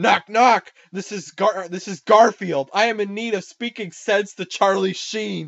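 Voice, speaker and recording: This is a put-on character voice at a moderate pace. There are hardly any pauses. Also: man, high pitch for a man. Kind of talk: comic overacting. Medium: read story. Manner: stern, stilted, overdramatic.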